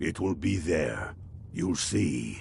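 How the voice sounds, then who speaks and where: Over clear background noise, a man puts on a raspy character voice pitched very deep and low. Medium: video game. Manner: earnest, confident.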